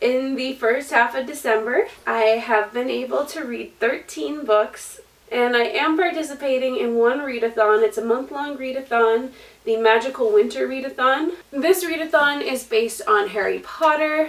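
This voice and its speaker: With noticeable background noise present, a woman talks in a high pitch that shifts in an ordinary way, at a moderate speed. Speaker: booktuber. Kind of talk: book review vlog.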